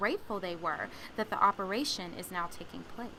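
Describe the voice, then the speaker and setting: A woman's ordinary speaking voice at a moderate pace, with ordinary pitch variation. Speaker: news reporter. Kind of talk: TV news report.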